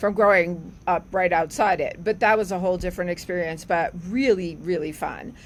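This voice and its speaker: A woman in a New Jersey accent, fairly even intonation and hardly any pauses. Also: medium pitch for a woman, moderate pace. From New Jersey, near Newark. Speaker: veterinarian at animal health research foundation. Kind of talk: casual podcast interview.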